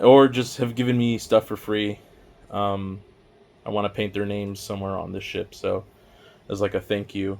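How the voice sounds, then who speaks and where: In a quiet, fairly low voice, a man speaks with monotone, flat intonation. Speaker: miniature painting hobbyist YouTuber. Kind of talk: casual showcase walkthrough. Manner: casual, filler-heavy.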